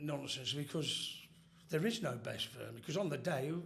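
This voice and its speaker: In an East Midlands accent, a man speaks at a fairly slow pace with lively intonation. Audible room echo surrounds his voice. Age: 50s. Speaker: former football firm member. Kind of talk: casual chat.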